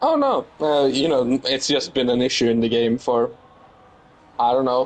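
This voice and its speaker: This man speaks at a fairly slow pace in a medium pitch. His intonation is monotone and flat. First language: not English. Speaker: sim racing co-commentator. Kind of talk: live commentary.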